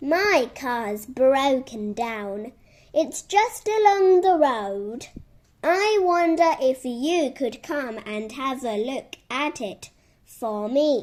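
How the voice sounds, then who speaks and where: A woman uses a put-on character voice, high in pitch, at a very slow pace on a very clean recording with a silent background. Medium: read story. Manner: eager, boastful.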